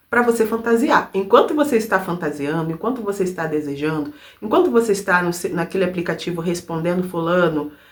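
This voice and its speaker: A woman's normal speaking voice, medium in pitch, with lively intonation. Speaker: self-help speaker. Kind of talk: motivational talk. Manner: casual.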